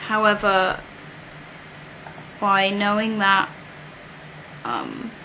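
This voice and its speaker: At a very slow pace, a woman speaks at a medium pitch with monotone, flat intonation and long, frequent pauses. Audible room echo and noticeable background noise surround her voice. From UK. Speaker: British expat in New York. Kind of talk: interview. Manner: hesitant, many fillers.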